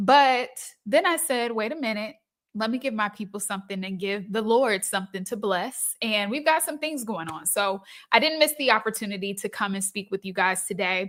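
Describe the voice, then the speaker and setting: On a very clean recording with a silent background, a woman speaks at a moderate pace and a fairly high pitch. Her tone is upbeat and animated, with lively intonation. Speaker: business coach. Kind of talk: live stream talk. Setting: live stream. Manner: upbeat, animated.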